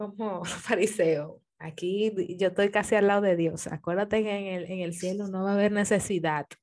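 Using a normal speaking voice, a woman talks at a medium pitch and a fairly slow pace. Her intonation is fairly even. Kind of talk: casual chat.

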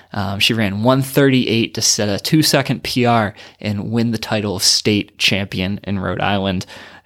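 A man with an unremarkable speaking voice, medium in pitch, at a moderate pace with ordinary pitch variation, on a very clean recording with a silent background. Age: 30s. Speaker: running coach and podcast host. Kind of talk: solo podcast monologue.

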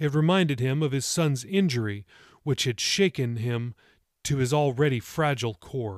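In a natural voice and with ordinary pitch variation, the text is read aloud over a quiet background.

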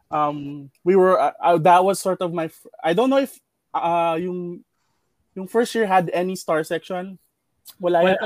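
This man has a high-pitched voice. The sound is dry and close with no echo, in a very clean recording over a silent background. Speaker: marketing manager. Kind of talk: casual chat.

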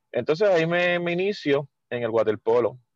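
A man speaks in an ordinary speaking voice with lively intonation. The sound is dry and close with no echo, over a quiet background. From Puerto Rico, Mayagüez. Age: 40s. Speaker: water polo coach. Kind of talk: casual interview.

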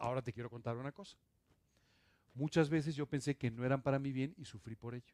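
Talking at a very fast pace with long, frequent pauses, a man uses a medium pitch, fairly even intonation and big swings in loudness. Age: 60s. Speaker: pastor. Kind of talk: sermon.

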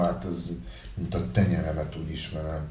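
A man speaks at a moderate pace with audible room echo. Background noise is noticeable. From Uruguay. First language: Spanish (speaking Hungarian). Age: 40s. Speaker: musician, band frontman. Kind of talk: casual interview.

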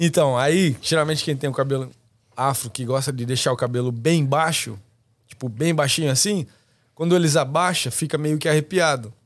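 A man's fairly high voice at a moderate pace, an ordinary speaking voice with ordinary pitch variation, in a very clean recording over a silent background. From Brazil, interior of São Paulo state. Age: 20s. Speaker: barber. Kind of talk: casual chat.

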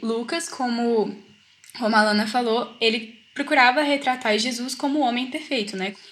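High pitch from a woman, ordinary variation in tone, and a moderate pace. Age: young. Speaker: student, study group member. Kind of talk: casual Bible study discussion. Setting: video call.

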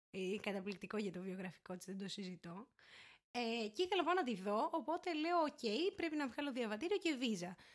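Very wide pitch swings mark speech that keeps a moderate pace. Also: woman, fairly high pitch for a woman. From Greece, Syros. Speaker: law student. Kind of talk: casual chat. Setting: home recording.

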